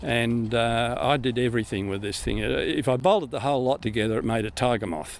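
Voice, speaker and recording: With an Australian accent, a man talks at a fairly quick pace, with ordinary pitch variation and hardly any pauses. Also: medium pitch for a man. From Australia, central New South Wales. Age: 80s+. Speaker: retired navy pilot and airline captain, museum guide. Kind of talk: interview. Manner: hesitant with fillers.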